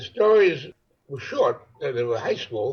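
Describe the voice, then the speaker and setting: A man's voice is somewhat breathy, with lively intonation. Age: 80s+. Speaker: first-time novelist. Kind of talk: interview. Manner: halting.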